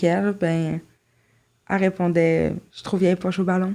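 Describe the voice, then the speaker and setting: A woman speaks at a fairly slow pace and medium pitch, with a dark, mellow tone. Her intonation is monotone and flat, in a very clean recording with a silent background. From Quebec, Saint-Jérôme. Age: 20s. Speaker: podcast guest. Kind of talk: interview testimony.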